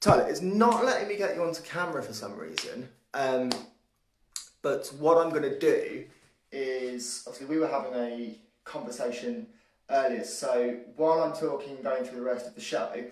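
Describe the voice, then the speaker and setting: In a room with audible echo, a man speaks at a moderate pace and fairly high pitch, with very wide pitch swings and big swings in loudness. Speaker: livestream show host. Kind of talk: live show commentary. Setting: home hallway, live stream.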